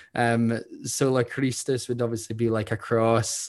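On a very clean recording with a silent background, a man speaks with a Scottish accent. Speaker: podcast co-host, theology student. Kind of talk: casual chat.

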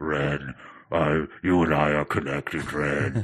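Using a put-on character voice, a man talks at a fairly slow pace with a very deep, low pitch and fairly even intonation.

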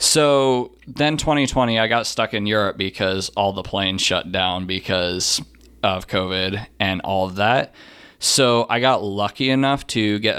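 Recorded very cleanly with a silent background, a plain, everyday voice moves at a moderate pace with ordinary pitch variation. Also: man. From US, Utah. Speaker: computer science student. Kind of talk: casual interview chat.

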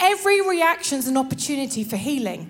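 Her voice animated and high in pitch, a woman swings her pitch very widely against noticeable background noise. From northern England. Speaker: preacher. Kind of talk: sermon.

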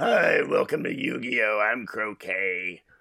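A man puts on a strained character voice and speaks at a fairly slow pace. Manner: put-on character voice.

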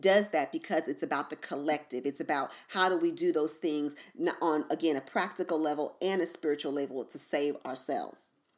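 On a very clean recording with a silent background, a woman with an American accent uses an ordinary speaking voice, fairly low in pitch, at a fairly quick pace with ordinary pitch variation. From US East Coast. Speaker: podcast host and spiritual advisor. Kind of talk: casual solo podcast monologue.

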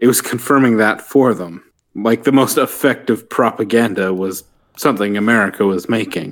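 A man with medium pitch, ordinary pitch variation, an unremarkable speaking voice, and a moderate pace. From Canada. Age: 20s. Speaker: cook. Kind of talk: casual chat.

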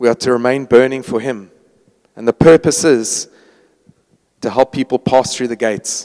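A man's dark, mellow voice at medium pitch and moderate pace, with long, frequent pauses and a dry, close sound with no echo. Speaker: worship leader. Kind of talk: prayer and closing remarks. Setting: church gathering.

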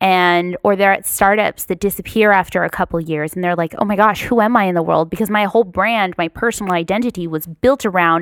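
With a Californian accent, a woman speaks at a medium pitch with ordinary variation and hardly any pauses, in a very clean, dry and close recording with a silent background and no echo. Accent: Californian American. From Los Angeles area, California. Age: 30s. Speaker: podcast host. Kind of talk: interview.

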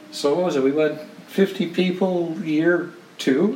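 Noticeable background noise runs under the recording. A man speaks at a very slow pace. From Canada. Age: 60s.

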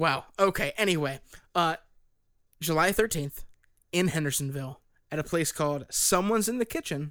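A man with a high pitch and a bright, sharp tone speaks at a moderate pace with ordinary pitch variation and long, frequent pauses, on a very clean recording with a silent background. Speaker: band member and podcast host. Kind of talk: casual chat.

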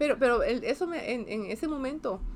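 Vocal fry runs through a delivery with ordinary pitch variation. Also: woman. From Costa Rica, San José. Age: 50s. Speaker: space agency science director. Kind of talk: interview.

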